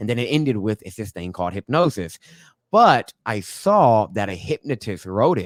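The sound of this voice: Soft-spoken and moderate in pace, a man speaks with big pitch swings.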